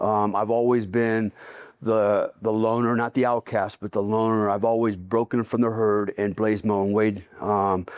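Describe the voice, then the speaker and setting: A man speaks at a moderate pace in a normal speaking voice with medium pitch, on a very clean recording with a silent background. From US military family, moved around. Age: 60s. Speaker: retired special forces soldier. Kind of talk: casual interview. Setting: on location.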